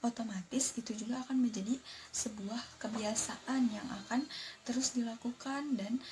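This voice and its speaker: Her voice sits fairly high and is somewhat breathy. The woman's intonation stays fairly even. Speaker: university student. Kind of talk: live reaction commentary. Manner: halting.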